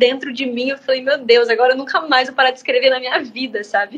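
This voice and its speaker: Noticeable background noise can be heard. The talking goes at a fairly quick pace. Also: woman. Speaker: singer-songwriter. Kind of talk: interview answer. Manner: casual, chatty.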